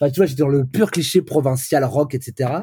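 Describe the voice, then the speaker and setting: Somewhat breathy and dark, mellow in tone, a man with a fairly high voice speaks at a fairly slow pace with ordinary pitch variation. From France, Brittany (Vannes). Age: 40s. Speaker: pop singer-songwriter. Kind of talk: casual interview.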